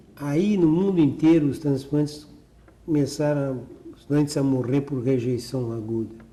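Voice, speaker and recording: Delivered at a fairly slow pace, an unremarkable speaking voice carries ordinary pitch variation. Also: man, fairly high pitch for a man. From Porto Alegre, Rio Grande do Sul, Brazil. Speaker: cardiac surgeon. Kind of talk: oral history interview answer.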